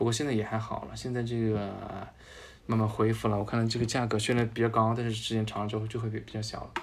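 With a slight Changsha accent, a man speaks at a very fast pace and a medium pitch. His intonation is monotone and flat, and room echo is audible. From Changsha, Hunan, China. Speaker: journalist and musical theatre fan. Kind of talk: casual interview chat.

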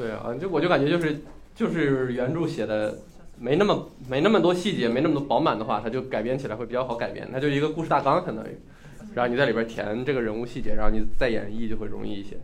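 In a room with audible echo, a man speaks very fast at a medium pitch, his intonation lively. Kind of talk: casual chat.

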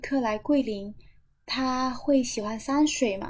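The speaker has a Cantonese accent. The pace is very slow, with fairly even intonation. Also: woman. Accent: Cantonese-accented Mandarin. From Macau. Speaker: hyouth hostel owner. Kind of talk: casual interview chat. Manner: hesitant, many fillers.

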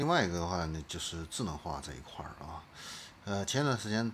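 Very deep and low, a man's somewhat breathy voice rises and falls with lively intonation. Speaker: podcast host. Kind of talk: solo commentary on car industry. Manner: many filler particles and hesitations.

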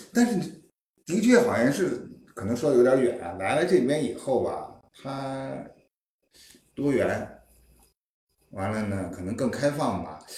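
A man with vocal fry speaks at a moderate pace and a fairly high pitch, his loudness swinging widely. Long, frequent pauses break up his speech, and the room echo is audible. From Beijing, China. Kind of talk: casual chat. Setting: living room gathering at host's home.

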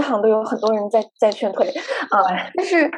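A woman with a plain, everyday voice and a fairly high pitch talks at a fairly quick pace. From China, Guangzhou. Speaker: podcast host. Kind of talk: casual chat.

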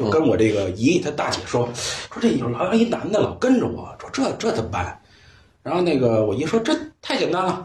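Amid noticeable background noise and audible room echo, a man with a Beijing accent speaks at a fairly quick pace, his fairly high pitch making very wide swings. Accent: Beijing Mandarin, erhua-heavy. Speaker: photo lab owner and storyteller. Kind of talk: casual chat. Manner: animated.

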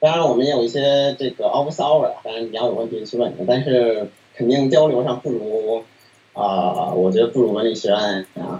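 Moderately paced male speech at medium pitch, ordinary pitch variation, and noticeable background noise behind it. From Beijing, China. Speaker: PhD student in machine learning. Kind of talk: interview. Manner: halting with many fillers.

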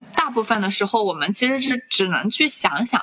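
Lively in intonation and fairly high in pitch, a woman with an unremarkable speaking voice talks at a moderate pace. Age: 20s. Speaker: podcast host. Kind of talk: casual chat.

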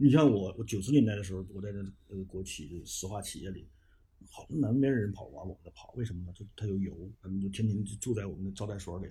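A man speaks at a very fast pace with big swings in loudness and ordinary pitch variation. His fairly low voice is somewhat breathy, with a dark, mellow tone. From Fushun, northeast China. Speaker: writer. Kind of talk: interview.

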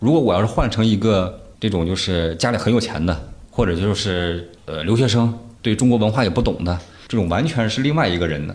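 A fairly low-pitched man at a fairly quick pace, with lively intonation and audible room echo. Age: 30s. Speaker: actor. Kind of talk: casual chat.

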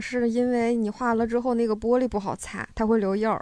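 Over a quiet background, a woman with a high pitch speaks at a moderate pace in monotone, flat intonation. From Northeast China, Harbin area. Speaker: live audience member. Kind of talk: casual chat.

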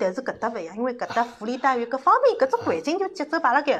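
Noticeable background noise beneath very wide swings in pitch. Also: woman. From Shanghai. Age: 40s. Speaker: makeup artist. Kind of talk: casual chat. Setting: studio.

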